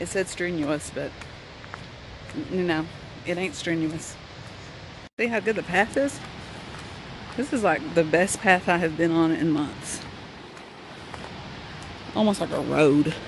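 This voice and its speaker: With noticeable background noise but a dry sound with no echo, a woman speaks with long, frequent pauses. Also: fairly low pitch for a woman, ordinary pitch variation. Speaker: vlogger hiker. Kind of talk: casual vlog chat. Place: forest. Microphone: phone near.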